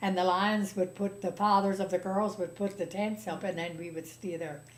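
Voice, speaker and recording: A woman's medium-pitched, monotone voice with flat intonation, at a fairly slow pace. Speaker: retired teacher, librarian and storyteller. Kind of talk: interview answer.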